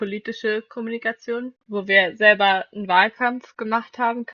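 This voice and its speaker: A woman with a plain, everyday voice speaks at a moderate pace. Her pitch is fairly high, and her intonation fairly even. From Flensburg, northern Germany. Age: 20s. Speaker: student podcaster. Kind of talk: casual chat.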